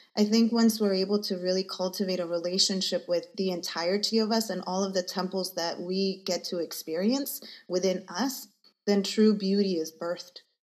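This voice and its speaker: On a very clean recording with a silent background, a woman with an unremarkable speaking voice talks at a moderate pace and medium pitch, her intonation fairly even. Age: 40s. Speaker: energy healer. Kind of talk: casual interview chat.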